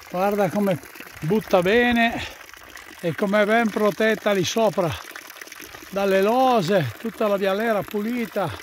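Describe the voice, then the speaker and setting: Taking long, frequent pauses at a fairly slow pace, a man speaks at a high pitch with ordinary pitch variation, the sound dry with no echo over light background noise. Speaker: solo hiker. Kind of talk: casual talk while hiking outdoors. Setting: outdoors. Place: open country. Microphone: phone near.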